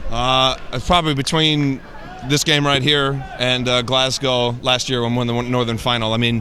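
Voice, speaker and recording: A man with an American accent speaks at a medium pitch and a moderate pace, in a monotone, flat intonation. Noticeable background noise runs underneath. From United States. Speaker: American football player. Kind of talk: post-match interview.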